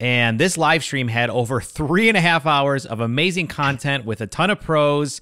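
A man's bright, sharp voice, fairly high in pitch, with lively intonation, a moderate pace and hardly any pauses, over a quiet background. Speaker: podcast host. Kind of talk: casual chat. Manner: playful. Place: home room. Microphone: studio mic.

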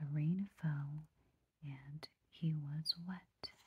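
The speaker is soft-spoken. Light background noise can be heard. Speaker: storybook reader. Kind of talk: read-aloud storytelling. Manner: soft-spoken bedtime story reading. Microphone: phone near.

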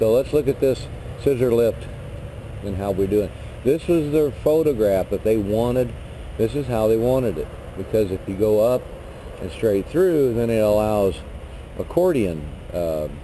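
Light background noise sits behind a man who talks at a moderate pace with long, frequent pauses. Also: lively intonation. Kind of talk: tutorial. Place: street. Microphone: phone near.

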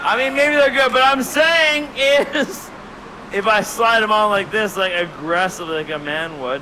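A man speaks in a raised, projected voice at a fairly slow pace. Noticeable background noise runs underneath. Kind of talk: stand-up comedy banter. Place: stage. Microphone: headset.

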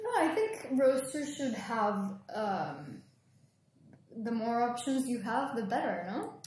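Speaking at a very slow pace, a woman uses a high pitch and lively intonation over noticeable background noise. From Guatemala. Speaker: green coffee exporter. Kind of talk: casual interview. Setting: at a coffee festival.

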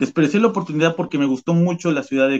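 A man with an unremarkable speaking voice, fairly high pitch and ordinary pitch variation, dry and close with no echo. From Mexico, Veracruz. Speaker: immigrant worker. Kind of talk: testimony.

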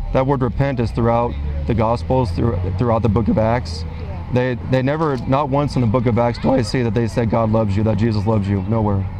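A man talks at a fairly quick pace with ordinary pitch variation, his dry sound carrying no echo over noticeable background noise. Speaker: street preacher. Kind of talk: one-on-one debate. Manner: not raising voice now, conversational. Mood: earnest, persuasive. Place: market. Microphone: lapel.

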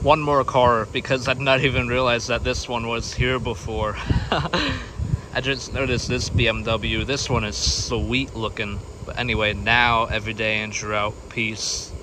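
Noticeable background noise sits behind a dry sound with no echo. A man talks at a moderate pace with fairly even intonation. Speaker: car spotting vlogger. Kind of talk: casual vlog chat. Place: street. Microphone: phone near.

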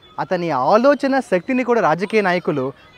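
A man speaks in a high voice with very wide pitch swings. Faint music plays behind the dry, echo-free sound. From Andhra Pradesh, Kakinada; Andhra Pradesh. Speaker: English professor and political party worker; English professor. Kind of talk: political speech to camera. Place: garden. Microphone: phone near.

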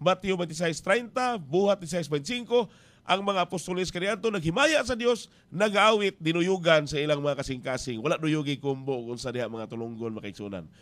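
The voice makes big swings in loudness and very wide pitch swings. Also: man, high pitch for a man, moderate pace. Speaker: radio preacher. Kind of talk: radio sermon. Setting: radio station. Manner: earnest, exhortative preaching. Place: booth. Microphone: studio mic.

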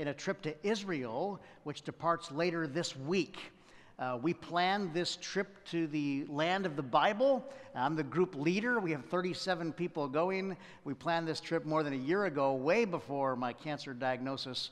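With intonation that rises and falls in a lively way, a man talks at a medium speed. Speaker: preacher. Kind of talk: sermon. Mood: warm, humorous. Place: church. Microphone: headset.

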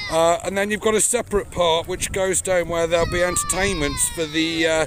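Over crowd noise in the background, a man with a high pitch speaks at a moderate pace with fairly even intonation, the sound dry with no echo. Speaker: fair vlogger. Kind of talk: casual vlog commentary. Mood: cheerful, joking. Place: waterside. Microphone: phone near.

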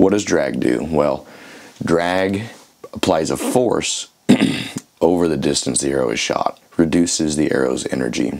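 A man at a moderate pace with lively intonation, over noticeable background noise. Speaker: archery educator. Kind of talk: tutorial.

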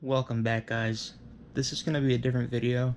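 With light background noise behind him, a man talks in a fairly even intonation. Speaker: vlogger. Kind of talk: casual vlog chat. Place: home room. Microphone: phone near.

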